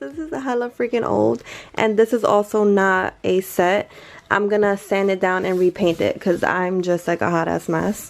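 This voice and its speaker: A quiet woman's voice at medium pitch, with ordinary pitch variation and a moderate pace. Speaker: lifestyle YouTuber. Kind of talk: casual chat. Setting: bedroom at night, others sleeping. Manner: talking quietly.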